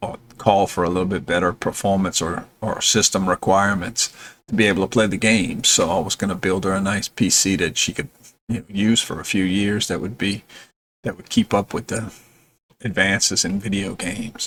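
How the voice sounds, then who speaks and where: A man has an unremarkable speaking voice with a fairly low pitch. He speaks at a moderate pace with fairly even intonation. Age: 60s. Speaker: gamer and YouTuber. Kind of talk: casual update vlog. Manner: relaxed with many fillers.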